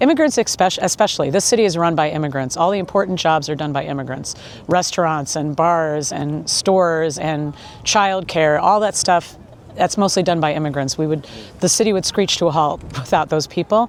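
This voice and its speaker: A woman in a normal speaking voice, fairly low-pitched with ordinary pitch variation, at a moderate pace. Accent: General American. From Kansas, US Midwest. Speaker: tour guide. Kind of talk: street interview answer.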